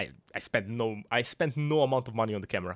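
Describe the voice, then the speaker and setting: A man talks at a fairly quick pace with ordinary pitch variation. The sound is dry and close with no echo, and music plays in the background. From Croatia. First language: Croatian. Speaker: video game streamer. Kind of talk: live gameplay stream chat. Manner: casual, halting with restarts.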